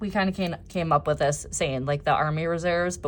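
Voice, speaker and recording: A woman with a strong Minnesotan accent, fairly low in pitch with ordinary variation, at a fairly quick pace. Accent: thick Minnesota. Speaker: planner designer and YouTuber. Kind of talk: tutorial walkthrough. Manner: casual, chatty.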